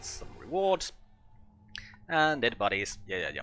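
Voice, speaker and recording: With music in the background, a man with a non-native accent talks at a moderate pace, his fairly high pitch making very wide swings. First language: not English. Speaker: gaming video creator. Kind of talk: let's play commentary. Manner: casual, thinking aloud.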